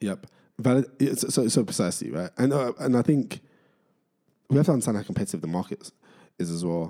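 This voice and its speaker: Pausing long and often, a man of medium pitch speaks at a fairly quick pace with a dark, mellow tone and very wide pitch swings. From East London / Essex border (Barking and Dagenham). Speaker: venture capital partner, startup founder. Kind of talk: casual interview.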